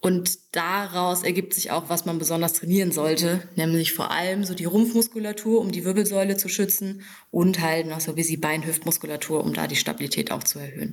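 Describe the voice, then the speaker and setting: This is a woman with a normal speaking voice, pitched fairly low. She talks at a fairly quick pace with fairly even intonation. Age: 20s. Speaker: fitness trainer. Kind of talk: podcast interview. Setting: in her fitness studio.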